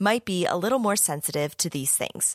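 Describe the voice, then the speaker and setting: A woman's normal speaking voice, medium in pitch and lively in intonation, with a dry, close sound, no echo and a very clean recording over a silent background. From US. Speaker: podcast host and young adult author. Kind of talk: casual interview chat; scripted outro narration.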